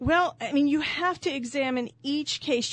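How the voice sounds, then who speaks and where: A woman's high-pitched voice with a Texan accent, fairly slow and with ordinary pitch variation, over a quiet background. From San Antonio, Texas. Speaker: trial lawyer and judicial candidate. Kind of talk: radio interview. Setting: studio.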